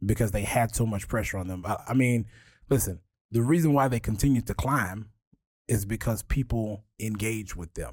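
On a very clean recording with a silent background, a man talks at a medium pitch and moderate pace with ordinary pitch variation. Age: 30s. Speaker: history museum director. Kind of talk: casual chat. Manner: passionate.

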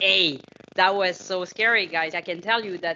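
In a French accent, a woman speaks at medium pitch and a moderate pace, with ordinary pitch variation and an animated tone. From France. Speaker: fitness coach. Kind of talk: casual chat.

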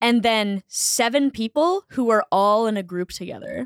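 On a very clean recording with a silent background and a dry, close sound with no echo, a woman with an unremarkable speaking voice and an American accent speaks at a fairly high pitch and a fairly slow pace, her intonation lively. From US Northeast, Boston. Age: 20s. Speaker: comedian. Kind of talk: casual chat. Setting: studio.

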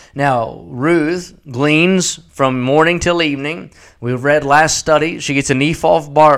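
Over a silent background in a very clean recording, a man talks at a fairly slow pace with a fairly high pitch and ordinary pitch variation. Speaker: evangelist preacher. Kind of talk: sermon, preacher in full flow. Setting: radio broadcast. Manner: animated, emphatic, rhythmic pulpit delivery.

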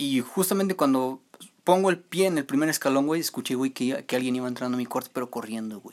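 A man talks at a very fast pace at medium pitch, with ordinary pitch variation. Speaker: podcast co-host. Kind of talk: casual chat; storytelling.

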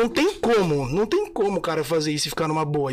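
The intonation is lively. A man talks at a very fast pace. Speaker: singer and musician. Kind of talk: casual chat.

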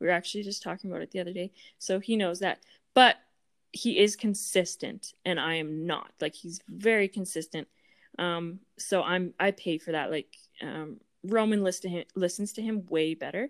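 A woman with a medium pitch uses a normal speaking voice at a moderate pace with ordinary pitch variation, in a very clean recording with a silent background and a dry, close sound with no echo. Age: 20s. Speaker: real estate agent and stepmom. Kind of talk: casual interview.

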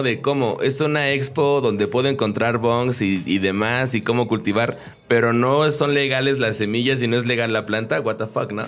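With music in the background, a man speaks at a moderate pace and medium pitch, using ordinary pitch variation. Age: 30s. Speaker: podcast host. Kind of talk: casual interview.

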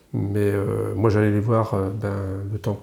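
On a very clean recording with a silent background, a man with a fairly low pitch speaks in a dark, mellow tone with vocal fry. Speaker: retired business owner. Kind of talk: casual chat.

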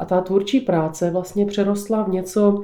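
A woman with a South Moravian accent speaks in a dark, mellow tone with monotone, flat intonation. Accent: South Moravian (Podluží) Czech. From South Moravia, Podluží (Břeclav area). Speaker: folk ornament painter. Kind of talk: interview.

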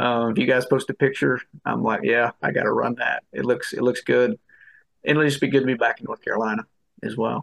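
Recorded in a dry, close sound with no echo, a man speaks at a fairly quick pace. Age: 50s. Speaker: ultrarunner. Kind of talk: interview.

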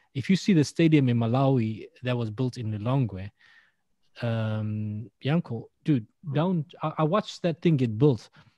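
With lively intonation and a dark, mellow tone, the voice comes through dry and close with no echo over a quiet background. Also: man, medium pitch for a man, fairly slow pace. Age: 40s. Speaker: podcaster. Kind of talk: casual chat. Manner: animated.

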